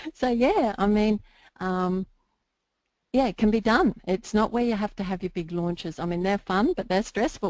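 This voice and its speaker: Someone with an Australian accent speaks at a moderate pace with ordinary pitch variation. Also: woman, medium pitch for a woman. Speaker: internet marketer. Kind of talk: interview.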